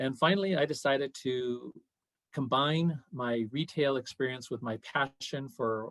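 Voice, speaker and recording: Here a man talks with medium pitch. His pitch variation is ordinary. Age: 60s. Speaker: city council candidate. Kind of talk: Q&A interview. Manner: hesitant with fillers.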